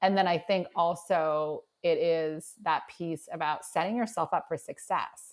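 Recorded very cleanly over a silent background, a woman with a plain, everyday voice and fairly low pitch speaks at a fairly slow pace with fairly even intonation and hardly any pauses. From Nova Scotia, Canada. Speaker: career and mindset coach. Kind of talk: casual interview chat.

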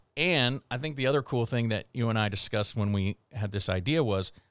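A man with an American accent has a plain, everyday voice at a medium pitch with ordinary variation. He talks at a fairly quick pace in a very clean recording with a silent background. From Houston, Texas suburbs. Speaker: physician assistant in sports medicine, podcast co-host. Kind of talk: casual chat.

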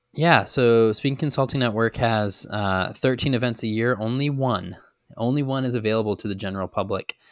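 In a very clean recording with a silent background, a man talks at a fairly quick pace in a plain, everyday voice, medium in pitch with ordinary pitch variation. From Chicago, US. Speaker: entrepreneur. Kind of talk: interview.

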